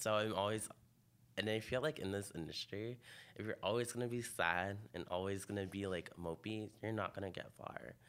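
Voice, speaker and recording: A man talks in an ordinary speaking voice. He keeps a moderate pace with ordinary pitch variation. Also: fairly low pitch for a man. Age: 20s. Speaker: fashion photographer. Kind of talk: interview.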